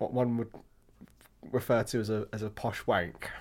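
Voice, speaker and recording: A man with a southern English accent on a very clean recording with a silent background. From England (Hampshire). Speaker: podcast co-host, wine expert. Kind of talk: casual chat.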